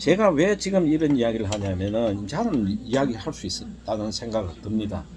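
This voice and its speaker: Amid noticeable background noise and audible room echo, a man of medium pitch talks at a moderate pace with lively intonation and hardly any pauses. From South Korea, Daegu. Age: 60s. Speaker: life-story vlogger. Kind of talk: personal testimony. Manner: halting, many fillers.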